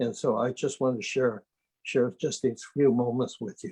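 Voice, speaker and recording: A man's somewhat breathy, medium-pitched voice at a moderate pace, with a dry, close sound and no echo. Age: 90s. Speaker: retired politician. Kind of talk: speech at virtual town hall. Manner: halting.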